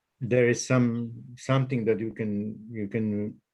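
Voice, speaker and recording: Using a non-native accent, a man speaks at a very slow pace. His pitch is medium and his intonation fairly even. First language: not English. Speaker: webinar attendee, patient or family member. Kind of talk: casual Q&A. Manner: halting.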